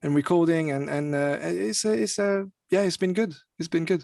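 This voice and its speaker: Against a quiet background, a man with a French accent and a fairly high pitch speaks at a moderate pace with ordinary pitch variation. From France. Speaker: music artist and singer. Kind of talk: interview. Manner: halting, many fillers and repetitions.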